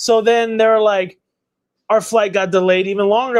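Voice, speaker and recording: A man speaks loudly in an animated tone at a high pitch. His pace is moderate. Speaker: collectibles channel host, statue unboxer. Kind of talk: casual livestream chat.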